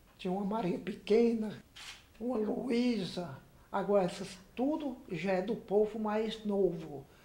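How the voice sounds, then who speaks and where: Speech at a very slow pace is heard with noticeable background noise. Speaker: elderly local resident. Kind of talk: oral history testimony.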